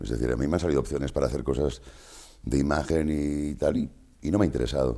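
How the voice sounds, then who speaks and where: A man speaks at a very fast pace in a very deep, low pitch. His tone is dark and mellow, with vocal fry. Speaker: voice actor. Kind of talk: interview answer. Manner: casual, conversational.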